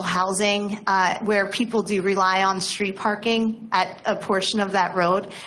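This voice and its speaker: A woman talks at a moderate pace. Audible room echo surrounds her voice. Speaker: nonprofit transportation planner. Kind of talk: presentation at council meeting. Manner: loud; hesitant, many fillers.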